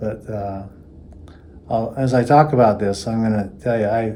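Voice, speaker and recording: With audible room echo, a man speaks at a fairly low pitch in a dark, mellow tone with fairly even intonation. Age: 60s. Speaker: patient. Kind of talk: testimony. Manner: halting, with frequent fillers.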